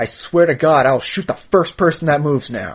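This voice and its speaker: A man's growling, put-on character voice, fairly high in pitch with ordinary variation, at a fairly quick pace. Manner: charming.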